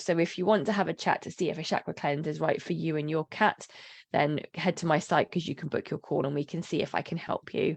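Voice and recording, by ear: A raspy, croaky put-on character voice races along at a very fast pace over a quiet background. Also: woman, fairly low pitch for a woman.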